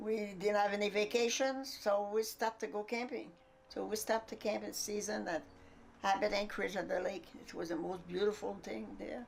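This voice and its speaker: Here a woman speaks in a French accent. Her pitch sits at a medium level. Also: ordinary pitch variation, moderate pace. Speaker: interviewee recalling family life. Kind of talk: documentary interview. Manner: halting.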